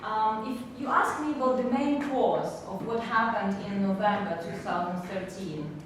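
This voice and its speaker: A woman at medium pitch and moderate pace, ordinary pitch variation, with audible room echo and noticeable background noise. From Ukraine. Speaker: policy analyst. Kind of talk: panel debate speech. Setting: forum with audience. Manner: hesitant, with fillers.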